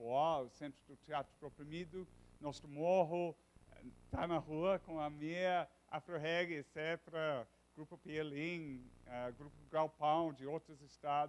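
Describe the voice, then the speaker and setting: A man with a non-native accent speaks at a fairly slow pace and a fairly high pitch. His intonation is fairly even, but his loudness swings widely. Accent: foreign accent in Portuguese. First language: English (speaking Portuguese). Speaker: professor. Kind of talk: lecture. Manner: halting.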